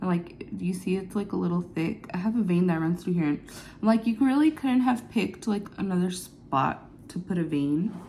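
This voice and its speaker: Here is a woman with a plain, everyday voice and a medium pitch. Her intonation is lively and her pace moderate. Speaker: beauty vlogger. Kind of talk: get ready with me vlog. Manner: casual, chatty.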